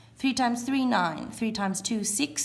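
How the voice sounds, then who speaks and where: Lively intonation and a somewhat breathy voice at a moderate pace, with audible room echo. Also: woman. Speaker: primary school teacher. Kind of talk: classroom video lesson.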